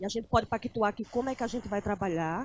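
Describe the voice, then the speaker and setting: Here a woman talks with a northeastern Brazilian accent. Her pitch is fairly high, with ordinary variation. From Brazilian Northeast, Aracaju (Sergipe). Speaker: anthropologist, lecturer. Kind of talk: lecture. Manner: halting, with fillers.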